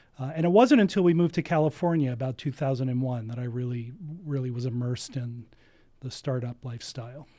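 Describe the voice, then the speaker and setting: On a very clean recording with a silent background, a man with an American accent talks at a very fast pace in a dark, mellow tone. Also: medium pitch for a man, ordinary pitch variation. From US Northeast (New Jersey). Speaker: entrepreneurship center director. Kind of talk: interview.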